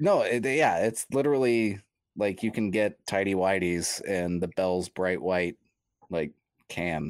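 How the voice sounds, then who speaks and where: The recording is very clean with a silent background and a dry, close sound with no echo, carrying a man's ordinary speaking voice, fairly low in pitch, at a fairly slow pace with ordinary pitch variation. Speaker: homebrewer. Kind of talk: casual chat.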